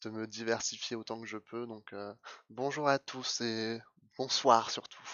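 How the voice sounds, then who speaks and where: This man talks at a very slow pace. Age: 20s. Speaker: streamer. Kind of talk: casual self-introduction, testimony. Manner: hesitant, many fillers and repetitions.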